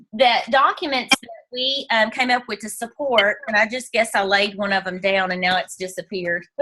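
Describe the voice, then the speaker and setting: A woman with an American accent uses lively intonation and a bright, sharp tone. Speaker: direct sales team leader. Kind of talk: team training call. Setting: video call from bedroom.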